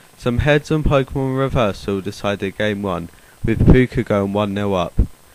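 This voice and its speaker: In a British accent, a man speaks at a fairly low pitch and moderate pace with ordinary pitch variation over noticeable background noise. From United Kingdom. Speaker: card game video host. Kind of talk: scripted commentary video.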